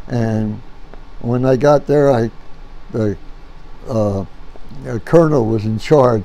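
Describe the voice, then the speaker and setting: An American accent comes through as a man speaks at a very slow pace. He leaves long, frequent pauses. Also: ordinary pitch variation. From New Jersey. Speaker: war veteran. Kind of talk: interview answer. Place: home room.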